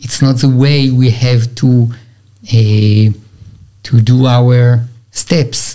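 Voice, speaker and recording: Over a quiet background, a man with an Israeli accent speaks very slowly in a dark, mellow, somewhat breathy tone, with monotone, flat intonation, very even loudness, and long, frequent pauses. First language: Hebrew. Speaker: Orthodox rabbi. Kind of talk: religious teaching interview. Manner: halting, hesitant English. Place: studio. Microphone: studio mic.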